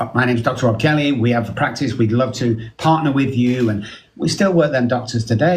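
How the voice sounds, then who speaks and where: A man speaks at a medium pitch with ordinary pitch variation and a somewhat breathy sound. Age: 60s. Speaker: addiction specialist. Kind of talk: casual chat. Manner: animated.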